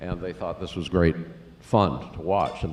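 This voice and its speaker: Speaking in an American accent, a man's voice sits very deep and low. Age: 70s. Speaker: family member giving remarks. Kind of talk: memorial remarks, anecdote. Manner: halting.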